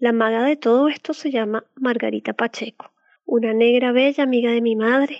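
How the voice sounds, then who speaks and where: Her pitch high and her intonation fairly even, a woman speaks at a moderate pace. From Venezuela. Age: 30s. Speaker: decoding practitioner and former teacher. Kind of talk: scripted narration.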